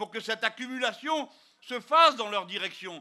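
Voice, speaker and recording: A man speaks in a raised, projected voice at a fairly slow pace, his pitch extremely high and his bright, sharp tone carried by lively intonation over a quiet background. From France. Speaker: politician. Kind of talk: political rally speech. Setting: outdoors or hall rally, live crowd. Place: hall. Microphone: handheld.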